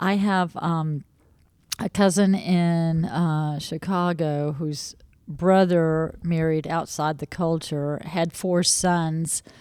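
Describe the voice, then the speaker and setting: Woman's dark, mellow voice in an American accent, monotone and flat, at a very slow pace on a very clean recording with a silent background. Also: fairly low pitch for a woman. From US, Jacksonville, Florida. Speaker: podcast guest, community advocate. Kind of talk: interview conversation. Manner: hesitant, many fillers.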